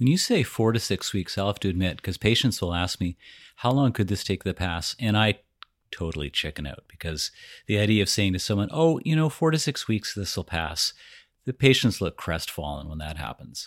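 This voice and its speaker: This man's fairly low voice swings very widely in pitch at a fairly quick pace. The recording is very clean and dry, close with no echo, over a silent background. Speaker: podcast host; emergency physician. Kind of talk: casual, joking clinical talk.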